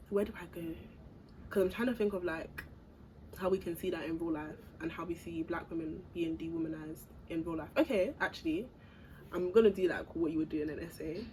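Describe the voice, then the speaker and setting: With a fairly low pitch and a dark, mellow tone, a woman speaks somewhat breathily at a fairly quick pace, with ordinary pitch variation and long, frequent pauses. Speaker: podcast guest. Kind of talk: casual chat. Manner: halting.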